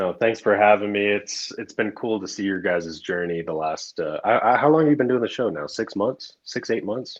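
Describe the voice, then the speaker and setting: This is a plain, everyday voice with an American accent and ordinary pitch variation. The pace is moderate, with hardly any pauses. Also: man, fairly low pitch for a man. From US, grew up in several states. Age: 30s. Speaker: snake breeder. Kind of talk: podcast interview.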